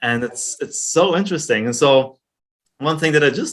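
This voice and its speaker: A man with a German accent, a moderate pace and very wide pitch swings. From Germany. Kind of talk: interview.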